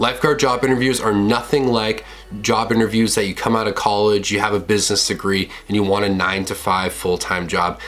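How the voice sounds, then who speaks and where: A man talks at a fairly quick pace with a fairly low pitch and fairly even intonation. There is noticeable background noise. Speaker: lifeguarding video creator. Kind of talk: casual tutorial vlog.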